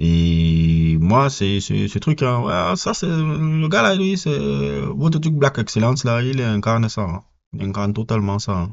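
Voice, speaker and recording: A man with a Cameroonian accent talks at a very slow pace, his fairly low pitch moving in very wide pitch swings. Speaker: film reviewer. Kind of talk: casual film review monologue. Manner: hesitant with repetitions and fillers.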